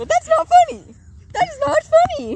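The speaker uses a put-on character voice, squeaky and extremely high-pitched. The pace is moderate. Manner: indignant.

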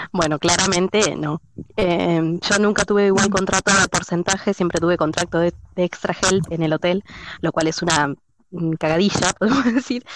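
A woman with a plain, everyday voice and fairly low pitch speaks at a moderate pace, with ordinary pitch variation, very even loudness and a dry, close sound with no echo. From Argentina. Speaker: former cleaner, kindergarten assistant. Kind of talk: casual chat.

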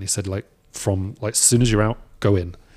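A man with a British accent speaks in a dark, mellow tone at a fairly low pitch. His intonation stays fairly even, and the recording is very clean with a silent background. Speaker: film concept designer. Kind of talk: casual podcast interview. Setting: workshop.

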